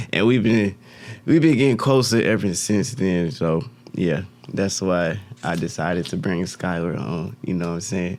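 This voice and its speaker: His pitch is very deep and low, and his intonation is lively. The man keeps a moderate pace. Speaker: podcast host. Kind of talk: casual chat.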